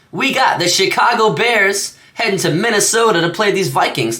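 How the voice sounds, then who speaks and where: The man's voice is raised and projected. His pitch is high. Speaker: sports betting youtuber. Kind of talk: solo sports picks monologue. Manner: halting, many fillers and stutters; casual.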